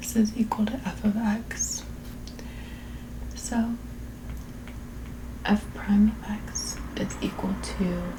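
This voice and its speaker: A soft-spoken woman talks at a very slow pace with long, frequent pauses. Noticeable background noise is present. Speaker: calculus tutor. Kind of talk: math tutorial, working through a practice exam. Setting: busy street noise in background. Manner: soft-spoken, ASMR style.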